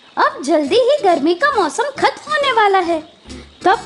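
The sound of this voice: A cartoonish character voice, female-sounding, with extremely high pitch and very wide pitch swings, speaks at a fairly slow pace over clear background music.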